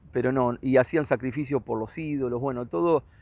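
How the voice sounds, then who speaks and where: At a moderate pace, a man speaks in a medium pitch with ordinary pitch variation and a plain, everyday voice. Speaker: religious teacher. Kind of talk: lecture.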